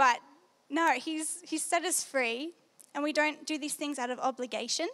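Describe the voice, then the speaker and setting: A woman with an Australian accent talks at a moderate pace, her pitch varying in an ordinary way. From Australia, New South Wales. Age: young. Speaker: Bible school student. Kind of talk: testimony talk. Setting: stage with audience.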